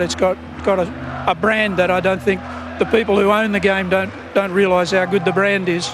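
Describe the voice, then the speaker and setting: Music plays behind a man with an Australian accent and a high pitch. He speaks at a moderate pace with audible room echo. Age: 60s. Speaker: rugby league coach. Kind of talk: post-match interview.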